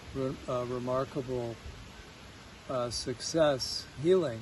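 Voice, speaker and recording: Here a man speaks with a Chicago accent at a very slow pace. His intonation stays fairly even. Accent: Chicago American English. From US Midwest, Chicago. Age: 60s. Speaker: patient at a healing retreat. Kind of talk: testimony. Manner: halting, many fillers.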